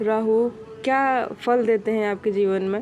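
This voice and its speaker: Fairly high woman's voice with monotone, flat intonation. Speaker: astrologer. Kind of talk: monthly horoscope talk. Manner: halting, many fillers; soft-spoken.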